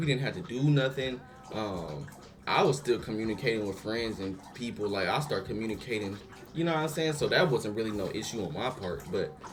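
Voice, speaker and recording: Noticeable background noise and audible room echo accompany a man talking at a fairly quick pace with lively intonation. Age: 20s. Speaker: YouTube reaction creator. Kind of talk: casual vlog commentary. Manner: casual, filler-heavy.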